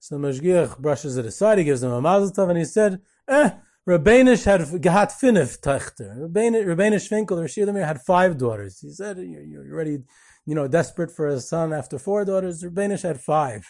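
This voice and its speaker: With an American accent, a man speaks fairly quickly in a high voice, his intonation lively and his loudness swinging widely. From Israel, American-Israeli. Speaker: podcast host, historian and tour guide. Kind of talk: storytelling tribute. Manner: halting, many fillers.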